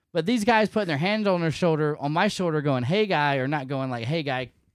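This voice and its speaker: A man talking at a very fast pace with very wide pitch swings, on a very clean recording with a silent background. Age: 40s. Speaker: podcaster and military member. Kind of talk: casual chat.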